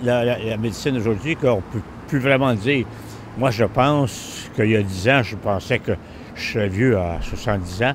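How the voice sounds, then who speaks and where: At a moderate pace, a man speaks at medium pitch with ordinary pitch variation amid noticeable background noise. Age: old. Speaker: vox pop interviewee. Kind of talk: street interview.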